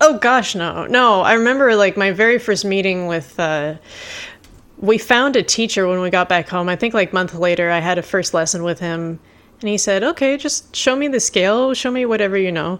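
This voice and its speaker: At a moderate pace, a woman speaks with lively intonation in an ordinary speaking voice. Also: medium pitch for a woman. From California (Carlsbad), moved to Montreal at 11. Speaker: bagpiper and music instructor. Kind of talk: casual chat.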